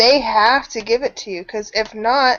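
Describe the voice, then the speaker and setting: A woman with a normal speaking voice talks at a moderate pace, her fairly high pitch carried on fairly even intonation. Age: 30s. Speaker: channel host. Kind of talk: casual chat.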